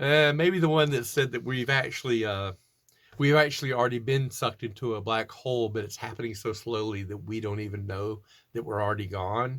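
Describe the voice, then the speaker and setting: An ordinary speaking voice from a man with an American accent, at medium pitch with ordinary pitch variation. He talks at a fairly quick pace on a very clean recording with a silent background. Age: 60s. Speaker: doom metal musician. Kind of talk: interview answering read questions. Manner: casual, with fillers and restarts.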